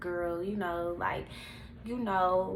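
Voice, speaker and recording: Audible room echo colors this recording. The speaker is a woman. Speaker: vlogger. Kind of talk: personal testimony.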